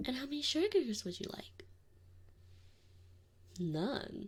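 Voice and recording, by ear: A woman uses a put-on character voice pitched high, with big pitch swings. She talks at a slow pace with a slightly husky edge.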